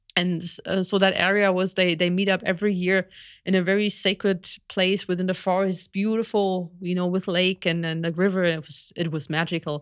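At a fairly quick pace, a woman with a German accent speaks in a medium pitch and a monotone, flat intonation, in a very clean recording with a silent background. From Germany, village near Berlin. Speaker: biologist and shamanic practitioner. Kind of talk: interview. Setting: live stream.

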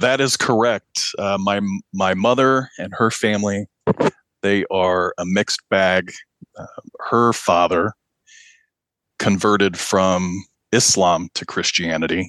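Speaking at a very slow pace with long, frequent pauses, a man keeps a fairly even intonation in a dry, close sound with no echo. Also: fairly low pitch for a man. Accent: American. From Pakistan, then US Midwest. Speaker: author and religious practitioner. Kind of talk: interview.

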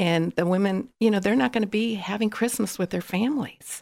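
The recording is very clean with a silent background, carrying a plain, everyday voice with an American accent. The speaker goes at a fairly quick pace with ordinary pitch variation. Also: woman. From California. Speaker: marketing specialist. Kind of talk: casual chat.

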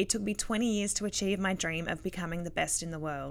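In a very clean recording with a silent background, a woman with a bright, sharp tone speaks at a fairly quick pace, her pitch medium and its variation ordinary. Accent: Australian. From Australia. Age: 30s. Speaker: professional cyclist and podcast host. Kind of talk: casual interview chat.

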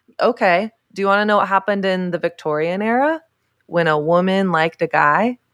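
A woman with an American accent has a normal speaking voice at medium pitch, with ordinary pitch variation and a moderate pace. The recording is very clean, with a silent background. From US South. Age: 30s. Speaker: author and speaker. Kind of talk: interview.

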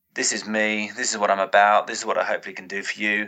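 A man with a British accent at a fairly quick pace. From Britain. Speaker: strength and conditioning coach. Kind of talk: casual chat.

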